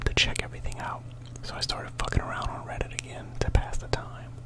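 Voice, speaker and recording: Over noticeable background noise comes a fairly quick whisper. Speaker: ASMR storyteller. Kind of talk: read story.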